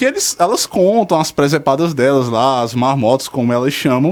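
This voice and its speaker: Lively intonation marks a man talking at a moderate pace. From Fortaleza, Ceará, Brazil. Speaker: radio show contributor. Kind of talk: radio talk show segment.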